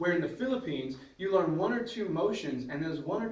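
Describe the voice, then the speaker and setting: Audible room echo surrounds a man's voice. He talks at a fairly quick pace in a high pitch. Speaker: martial arts instructor. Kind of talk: tutorial. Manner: fast; casual.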